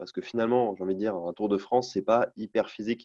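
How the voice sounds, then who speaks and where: Against a quiet background, a man talks at a fairly low pitch with fairly even intonation. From Brittany, north Finistère. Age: 20s. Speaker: adventurer cyclist. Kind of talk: interview. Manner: hesitant with fillers.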